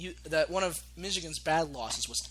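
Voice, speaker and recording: A man talks in an animated tone at a moderate pace. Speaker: sports talk show host. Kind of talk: casual sports chat. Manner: loud, yelling.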